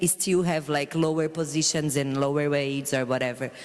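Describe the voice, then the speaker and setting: With a non-native accent, a woman speaks at a moderate pace in a very deep, low pitch. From Brazil. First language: not English. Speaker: dancer and performer. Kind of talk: talk with audience.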